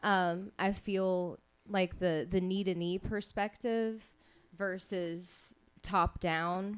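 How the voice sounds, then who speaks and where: Her pace is very slow, with fairly even intonation and a medium pitch. The woman is recorded very cleanly against a silent background. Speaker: radio show host. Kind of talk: live radio show host interview. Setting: live venue, coffee house.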